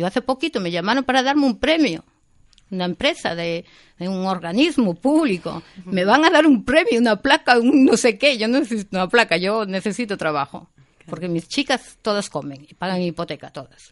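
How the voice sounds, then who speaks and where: A woman talks at a fairly quick pace, her fairly high voice making very wide pitch swings. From Spain, Galicia (Vigo). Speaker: event organiser. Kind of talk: casual chat.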